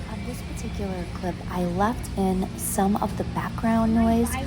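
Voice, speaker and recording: Music plays in the background and room echo is audible as a woman speaks at a very slow pace. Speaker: thrift and antique vlogger. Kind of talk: voiceover narration of shopping video.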